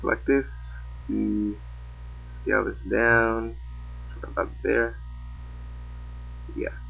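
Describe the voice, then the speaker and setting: Amid audible room echo, a man with a very deep, low voice speaks very slowly and monotonously, leaving long, frequent pauses. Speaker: 3D animation tutorial maker. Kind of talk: tutorial. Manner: casual, hesitant with fillers.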